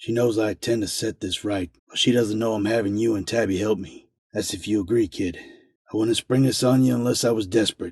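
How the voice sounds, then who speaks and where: Using a put-on character voice, a man speaks at a fairly quick pace with a medium pitch, a raspy, weary tone and fairly even intonation. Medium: read story. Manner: gruff, world-weary.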